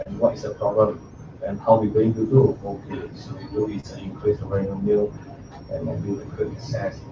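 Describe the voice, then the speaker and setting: A man talks at a moderate pace with big swings in loudness, over noticeable background noise. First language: not English. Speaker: student presenting assignment. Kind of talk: class presentation and discussion. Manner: halting.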